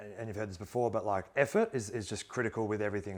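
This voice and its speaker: With an Australian accent, a man talks very fast at a medium pitch and a fairly even intonation. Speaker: former pro footballer turned investor. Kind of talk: interview conversation.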